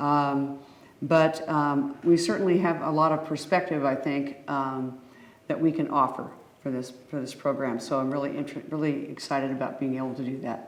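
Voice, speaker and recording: A woman with a very deep, low voice talks at a moderate pace with fairly even intonation. Audible room echo surrounds her. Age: 70s. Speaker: panel guest, retired nurse. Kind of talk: panel discussion.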